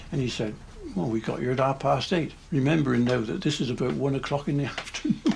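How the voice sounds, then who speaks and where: Amid noticeable background noise, a man talks at a very fast pace in a medium pitch. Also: ordinary pitch variation. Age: 80s+. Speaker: former ferry engineer. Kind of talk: interview testimony.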